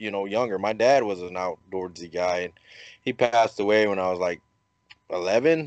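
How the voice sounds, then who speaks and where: An unremarkable speaking voice from a man, moderate in speed and ordinary in pitch variation. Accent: American. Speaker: podcast host. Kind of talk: casual chat. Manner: jokey, humorous.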